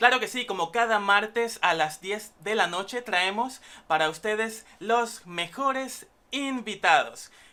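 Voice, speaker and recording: With a bright, sharp tone, a woman speaks at a fairly slow pace and fairly high pitch, using ordinary pitch variation. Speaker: student broadcaster. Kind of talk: talk show host intro.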